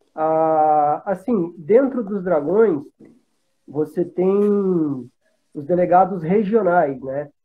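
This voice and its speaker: A man with a high pitch speaks at a very slow pace, using ordinary pitch variation. Music plays in the background. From Brazil, Paraná (Pato Branco). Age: 30s. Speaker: motorcycle club regional representative. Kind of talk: casual chat. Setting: video call. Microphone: video call.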